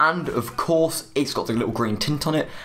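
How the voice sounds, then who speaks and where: Someone speaks with a British accent and ordinary pitch variation. Background noise is noticeable throughout. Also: man. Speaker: gaming YouTuber. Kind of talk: video game review. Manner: fast.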